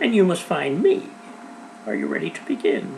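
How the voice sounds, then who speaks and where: A man puts on a character voice. Clear background noise runs underneath. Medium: read story. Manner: cheerful, assured.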